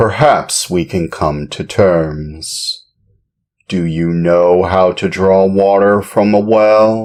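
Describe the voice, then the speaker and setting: A man's put-on character voice, very deep and low, at a very slow pace with ordinary pitch variation over a quiet background. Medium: read story. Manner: blunt, matter-of-fact.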